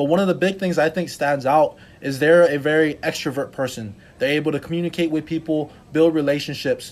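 This man has a plain, everyday voice and a fairly high pitch. He talks at a fairly quick pace on a very clean recording with a silent background. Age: 20s. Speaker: podcast host. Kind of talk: interview.

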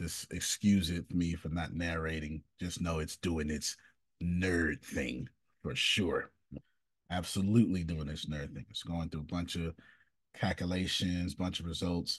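Speaking low for a man at a fairly slow pace, he has a raspy, slightly husky edge and fairly even intonation.

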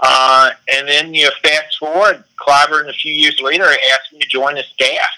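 A man with a South Carolina accent, fairly high pitch, fairly even intonation and moderate pace. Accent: Southern US (South Carolina). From South Carolina, US South. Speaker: political candidate. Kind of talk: interview.

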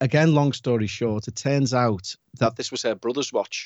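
Fairly even intonation from a man speaking at a moderate pace. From Liverpool, England. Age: 40s. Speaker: paranormal podcast host. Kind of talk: casual interview chat.

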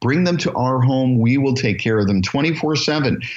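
This man speaks at a moderate pace with a medium pitch. He has an ordinary speaking voice and lively intonation. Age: 50s. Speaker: assisted living business founder and educator. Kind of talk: interview.

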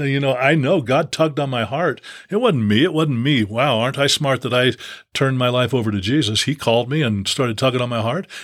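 Here a man uses a normal speaking voice at a medium pitch and a fairly quick pace. His pitch varies in an ordinary way. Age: 60s. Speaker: former pro basketball player and preacher. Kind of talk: casual chat.

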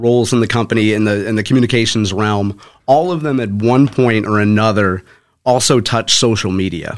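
A man with an American accent and an unremarkable speaking voice, medium pitch and ordinary pitch variation, a fairly quick pace, on a very clean recording with a silent background. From St. Louis area, Missouri (North County). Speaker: author and former corporate communications professional. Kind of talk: interview. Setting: studio.

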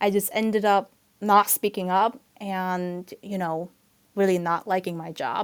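A speaker with a Chinese accent talks at a fairly slow pace in a monotone, flat intonation. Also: woman, medium pitch for a woman. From southern China, moved to New York at 14. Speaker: health tech professional. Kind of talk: casual chat.

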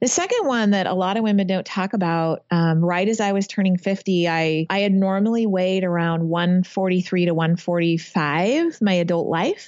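A woman speaks in a normal speaking voice at medium pitch with fairly even intonation. Her pace is moderate, with hardly any pauses and very even loudness. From Northern California. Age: 50s. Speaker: masters rower. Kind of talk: interview.

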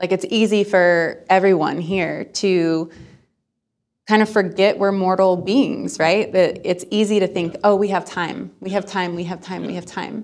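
At a fairly slow pace, a woman with a medium pitch speaks in an unremarkable speaking voice with fairly even intonation. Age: 20s. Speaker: nonprofit founder. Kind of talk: interview.

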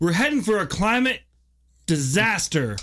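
A gruff, put-on character voice. The pace is moderate. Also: man, high pitch for a man. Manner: badass, gruff.

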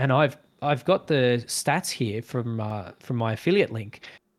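A man with an Australian accent speaks at a medium pitch with ordinary pitch variation. The recording is very clean and the background silent. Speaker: guest, video editor and gamer. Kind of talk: casual conversation interview.

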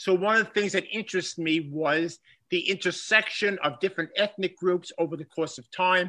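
A man with a Bronx accent speaks in a high-pitched, bright, sharp tone over a quiet background. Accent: Bronx New York. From Bronx, New York. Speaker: history professor and former coach. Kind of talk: interview conversation. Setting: remote call.

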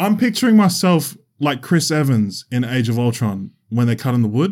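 Over a very clean recording with a silent background, a man with an Australian accent speaks with very wide pitch swings. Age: 20s. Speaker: podcast co-host. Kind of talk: casual chat. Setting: studio.

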